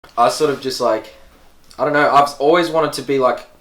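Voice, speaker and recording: Speaking fairly quickly, a man talks in an Australian accent. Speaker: rapper and producer. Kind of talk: casual interview. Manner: casual, filler-heavy.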